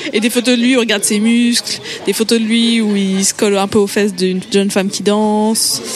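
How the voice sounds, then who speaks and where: Over noticeable background noise, a woman talks at a fairly quick pace in a fairly high pitch with fairly even intonation. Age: young. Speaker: podcast columnist. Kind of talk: storytelling. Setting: restaurant.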